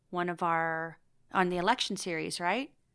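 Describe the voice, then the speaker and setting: A woman speaks at medium pitch and a moderate pace in a normal speaking voice, recorded very cleanly against a silent background. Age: 40s. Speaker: podcast co-host. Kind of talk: casual chat.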